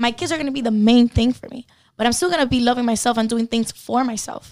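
A woman's high voice in a Spanish accent, with fairly even intonation. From Cuba. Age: 20s. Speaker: model and online content creator. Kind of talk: casual chat.

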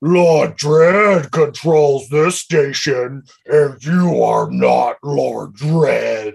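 A man does a put-on character voice with a fairly high pitch. He speaks very slowly, with hardly any pauses. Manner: threatening, put-on.

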